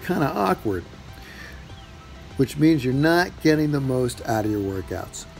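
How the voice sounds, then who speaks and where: A man with a fairly high pitch and lively intonation at a moderate pace, music in the background. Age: 50s. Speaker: fitness trainer. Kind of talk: tutorial.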